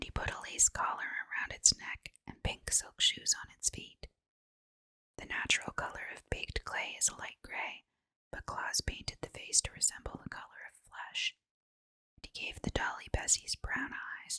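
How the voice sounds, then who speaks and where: Whispering at a moderate pace, a woman's voice swings widely in loudness, heard in a dry, close sound with no echo. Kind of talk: whispered sleep story reading. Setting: ASMR bedtime reading. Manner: whispered, soft.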